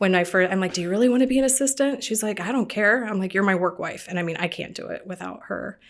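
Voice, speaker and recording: A woman with an American accent talks very fast at a medium pitch, hardly pausing. Background noise is noticeable. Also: ordinary pitch variation. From US Midwest, Ohio (Columbus suburb). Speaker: real estate team leader. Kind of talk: podcast interview.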